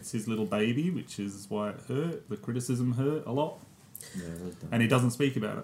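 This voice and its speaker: Breathy to a degree, a man talks at a medium pitch and moderate pace with ordinary pitch variation. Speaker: podcast co-host. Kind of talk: casual film podcast discussion. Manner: hesitant, many fillers.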